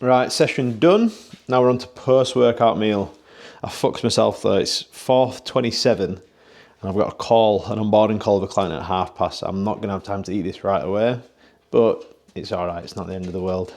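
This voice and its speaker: A man with a British accent talks at a fairly quick pace in a fairly low pitch. His loudness swings widely, with ordinary pitch variation. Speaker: online fitness coach. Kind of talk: casual vlog narration.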